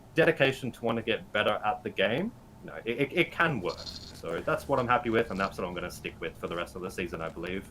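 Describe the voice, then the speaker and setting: A man with an Australian accent, medium in pitch, at a very fast pace. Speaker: Pokemon GO writer and editor. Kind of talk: podcast interview.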